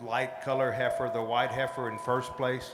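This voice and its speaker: Someone with an American accent talks at a fairly slow pace, with noticeable background noise and audible room echo. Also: man. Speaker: cattle show judge. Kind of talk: live show judging commentary.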